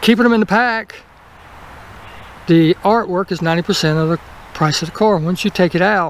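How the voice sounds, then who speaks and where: Noticeable background noise sits behind a man with a Southern US accent. His pitch is high. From US South. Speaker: toy car collector YouTuber. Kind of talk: casual unboxing video. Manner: fast.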